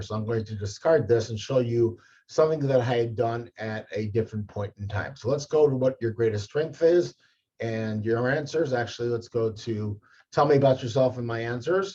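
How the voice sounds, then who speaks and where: A man's medium-pitched voice, dark and mellow in tone and somewhat breathy, with ordinary pitch variation at a fairly quick pace. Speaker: career advisor. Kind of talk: tutorial.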